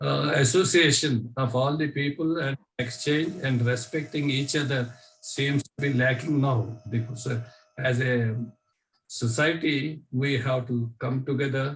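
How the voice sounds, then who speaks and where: A man talks fairly slowly at medium pitch. His voice is somewhat breathy, with fairly even intonation. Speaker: training participant. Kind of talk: online training session sharing. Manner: halting.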